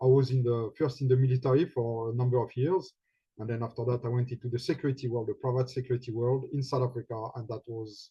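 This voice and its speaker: Someone speaks very fast in a French accent. The voice is somewhat breathy, with flat, monotone intonation. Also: man, medium pitch for a man. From France. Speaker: healing facilitator and guide. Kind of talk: personal talk. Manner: halting.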